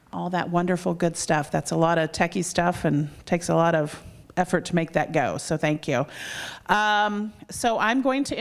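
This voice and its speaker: A woman talks at a fairly slow pace, and the background is quiet. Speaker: event host introducing a lecturer. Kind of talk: introduction speech. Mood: warm, friendly. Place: hall. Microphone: handheld.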